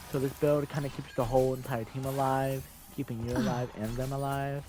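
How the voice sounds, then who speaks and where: A man at medium pitch, fairly quick pace, noticeable background noise. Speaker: gamer. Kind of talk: game tutorial voice-over. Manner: hesitant, many fillers.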